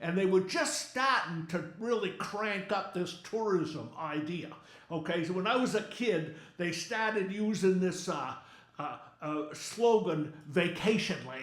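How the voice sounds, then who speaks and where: Amid noticeable background noise and audible room echo, a man with an American accent speaks in a high voice at a fairly slow pace. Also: ordinary pitch variation. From Maine, US. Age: 70s. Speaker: humorist. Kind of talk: stand-up. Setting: stage with audience. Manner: animated.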